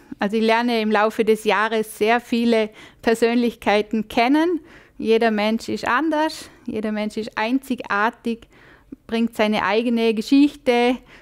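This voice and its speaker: A woman's fairly slow, fairly even delivery against a quiet background. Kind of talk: interview answer. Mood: friendly, smiling. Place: studio.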